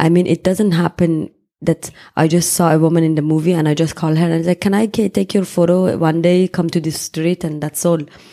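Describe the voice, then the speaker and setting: Recorded with a dry, close sound and no echo, a woman with a Persian accent and a fairly low pitch talks at a fairly quick pace in a monotone, flat intonation. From Iran, Tehran. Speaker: photographer. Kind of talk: interview.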